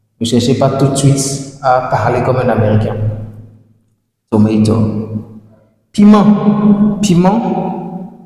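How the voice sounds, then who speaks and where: In a room with audible echo, a man speaks with very wide pitch swings. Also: long, frequent pauses. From sub-Saharan Africa (francophone). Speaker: English language teacher. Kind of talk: tutorial. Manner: repetitive, slow drilling of words; hesitant fillers.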